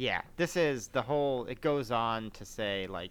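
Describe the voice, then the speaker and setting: On a very clean recording with a silent background, a man has a normal speaking voice, medium pitch and ordinary pitch variation. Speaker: podcast host. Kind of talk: casual podcast chat.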